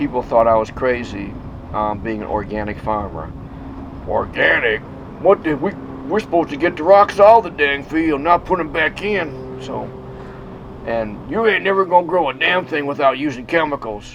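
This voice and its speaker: Over noticeable background noise, a man with an American accent speaks at a moderate pace in a fairly high pitch, with very wide pitch swings. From US Midwest, inner-city Chicago. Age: 60s. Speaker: organic farmer. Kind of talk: casual talk to animals on farm; documentary interview. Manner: hesitant, with fillers.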